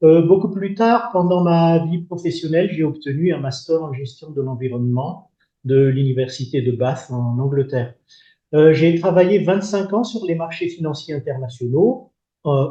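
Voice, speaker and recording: A man talks at a moderate pace in a fairly high, somewhat breathy voice. His pitch varies in an ordinary way. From Madagascar. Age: 60s. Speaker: retired development finance executive. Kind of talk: podcast interview.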